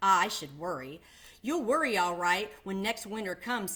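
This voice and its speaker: In a gruff, put-on character voice, a woman speaks at a moderate pace and medium pitch, on a very clean recording with a silent background. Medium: read story. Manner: gruff, surly.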